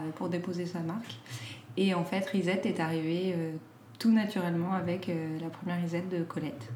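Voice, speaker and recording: Noticeable background noise and audible room echo surround a woman's fairly low voice. She talks at a moderate pace with ordinary pitch variation. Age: 30s. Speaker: clothing brand founder. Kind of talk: casual interview. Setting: at her home. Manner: hesitant, many fillers.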